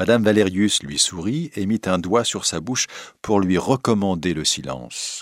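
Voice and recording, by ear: A natural voice reading aloud, its pitch varying an ordinary amount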